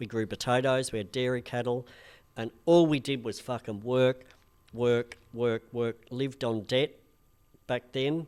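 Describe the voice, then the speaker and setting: Recorded very cleanly with a silent background, a man with a strong Australian accent talks at a fairly slow pace and medium pitch with fairly even intonation. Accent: broad Australian. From Australia, rural Victoria. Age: 50s. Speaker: influencer and comedian. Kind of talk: casual chat.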